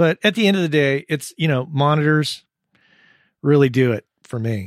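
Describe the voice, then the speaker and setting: A man's fairly high-pitched voice with an American accent and lively intonation, fairly slow in pace, in a dry, close sound with no echo. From US Southwest (southern New Mexico). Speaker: audio engineer and podcast host. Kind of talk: casual interview. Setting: Skype call.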